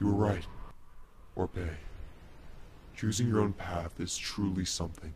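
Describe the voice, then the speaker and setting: Putting on a character voice, a man speaks at a moderate pace in a very deep, low pitch. Long, frequent pauses break up his speech, and there is clear background noise. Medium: machinima.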